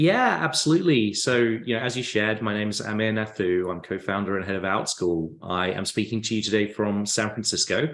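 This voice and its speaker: This man talks at a fairly quick pace, barely pausing at all. His pitch is fairly low, with ordinary variation. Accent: English. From England. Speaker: tech company founder. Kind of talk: podcast interview.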